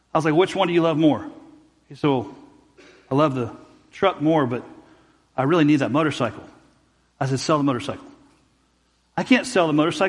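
Talking at a very fast pace, a man uses a fairly high pitch with ordinary pitch variation. Long, frequent pauses break up his speech. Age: 40s. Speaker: pastor. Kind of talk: sermon. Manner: halting.

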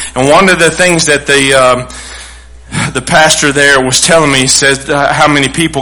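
With a Texan accent, a man speaks at a moderate pace in a fairly high pitch and fairly even intonation, with audible room echo and noticeable background noise. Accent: Texan Southern US. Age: 40s. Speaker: pastor. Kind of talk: sermon.

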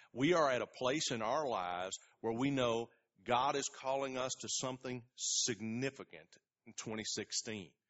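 An ordinary speaking voice from a man, medium-pitched, at a moderate pace, with ordinary pitch variation and big swings in loudness. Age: 40s. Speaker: pastor. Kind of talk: sermon.

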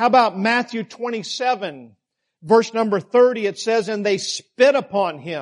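The natural reading voice keeps a fairly even intonation, and the background is quiet.

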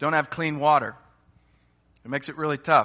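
A bright, sharp tone over a quiet background. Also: man. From Uganda (raised by American parents). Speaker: guest preacher. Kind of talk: sermon. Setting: church.

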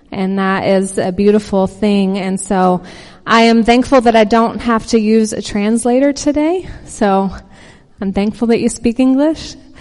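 A woman speaks in a Texan accent at a fairly high pitch. She talks at a fairly slow pace with ordinary pitch variation. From Texas. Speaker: visiting pastor. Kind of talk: sermon. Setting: church with congregation.

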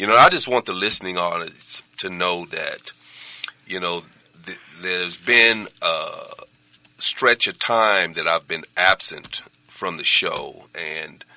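The speech is fairly slow, broken by long, frequent pauses. The sound is dry and close with no echo, but background noise is noticeable. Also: man. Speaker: pastor. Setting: studio.

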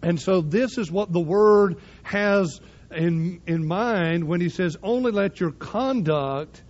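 A man with a Southern US accent talks at a very slow pace. His pitch is high, with ordinary pitch variation. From US South. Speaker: pastor. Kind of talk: sermon.

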